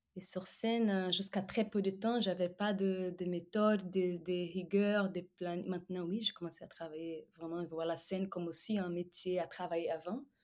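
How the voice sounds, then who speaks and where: At a fairly slow pace, a woman with a Portuguese accent speaks at a medium pitch with fairly even intonation. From Brazil. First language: Portuguese (speaking French). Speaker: singer-songwriter. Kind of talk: interview. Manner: halting.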